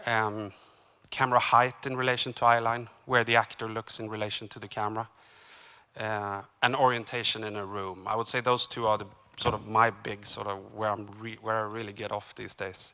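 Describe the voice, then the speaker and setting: A man with a Swedish accent talks at a fairly quick pace and a fairly low pitch, in a bright, sharp tone. His intonation is monotone and flat, while his loudness swings widely. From Sweden. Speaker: cinematographer. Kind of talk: seminar talk. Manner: halting.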